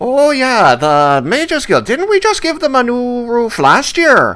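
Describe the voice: A man puts on a character voice at an extremely high pitch. His pace is fairly slow.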